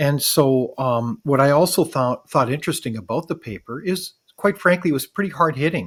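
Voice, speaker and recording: Fairly high in pitch and somewhat breathy, a man talks at a fairly quick pace with lively intonation and hardly any pauses. The recording is very clean, with a silent background. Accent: Canadian. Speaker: podcast host. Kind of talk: interview.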